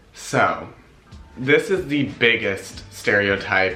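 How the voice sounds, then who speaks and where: Music plays in the background. A man speaks with an American accent. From Los Angeles, California. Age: young. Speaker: ballet dancer. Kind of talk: casual talk to camera.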